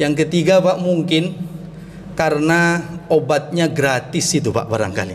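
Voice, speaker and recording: A man speaks with a fairly high pitch and ordinary pitch variation. There is audible room echo. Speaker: Islamic preacher. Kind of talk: sermon.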